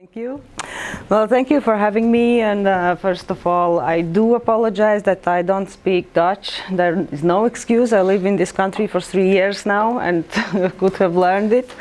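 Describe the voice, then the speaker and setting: A woman with a Latvian accent over noticeable background noise. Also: medium pitch for a woman, ordinary pitch variation, moderate pace. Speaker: librarian. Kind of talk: presentation. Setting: workshop with audience. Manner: halting.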